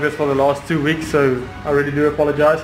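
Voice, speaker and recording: There is noticeable background noise as a man speaks in a monotone, flat intonation. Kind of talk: tutorial. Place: workshop.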